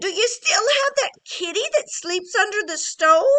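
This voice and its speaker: This is a put-on character voice, raised and projected. It sounds shrill. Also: woman, extremely high pitch for a woman, moderate pace. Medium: read story. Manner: screechy.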